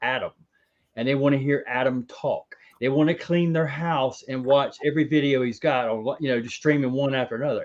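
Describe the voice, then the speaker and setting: Against a quiet background, a man talks fairly quickly in an ordinary speaking voice with fairly high pitch. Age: 40s. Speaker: ball python breeder. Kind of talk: casual chat.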